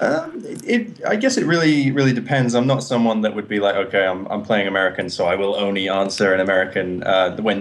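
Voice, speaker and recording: Speaking at a fairly quick pace, a man with an English accent has a fairly low pitch and ordinary pitch variation. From England, coastal town. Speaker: actor and martial artist. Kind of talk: interview.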